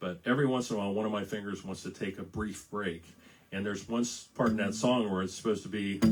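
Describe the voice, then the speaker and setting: Talking at a very fast pace, a man with an American accent uses a fairly low pitch and fairly even intonation. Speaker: singer-songwriter. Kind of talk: casual live-stream chat between songs. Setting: Facebook live stream. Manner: halting, many fillers and repeats.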